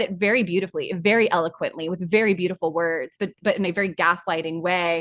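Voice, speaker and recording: A woman talks at a fairly quick pace in an animated tone. The background is quiet. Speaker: spiritual coach leading online workshop. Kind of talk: guided group session; casual chat.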